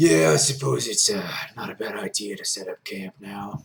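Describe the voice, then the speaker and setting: In a put-on character voice, a man speaks raspy and fairly low at a moderate pace. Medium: actual play.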